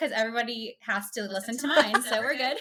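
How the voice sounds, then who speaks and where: A woman's raised, projected voice with a Southern US accent, at a fairly quick pace and with lively intonation, over noticeable background noise. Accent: Southern US, says y'all. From US South, rural central Florida. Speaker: pediatric occupational therapist. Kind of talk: casual interview chat.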